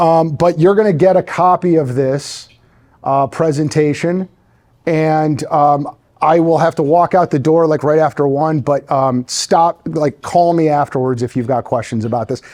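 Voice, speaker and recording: A man's fairly high voice at a moderate pace, with ordinary pitch variation, against a quiet background. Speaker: lawyer. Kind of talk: lecture. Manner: animated.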